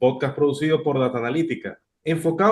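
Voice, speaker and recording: A man talks at a fairly quick pace with a fairly high pitch. He has an unremarkable speaking voice. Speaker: podcast host. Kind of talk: interview.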